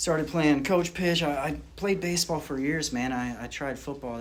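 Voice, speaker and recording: With a Southern US accent, a man talks at a fairly quick pace with ordinary pitch variation. Audible room echo and noticeable background noise surround him. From rural North Carolina, then Florida from age ten. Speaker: recovering addict sharing story. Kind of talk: recovery testimony. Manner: casual, halting with fillers.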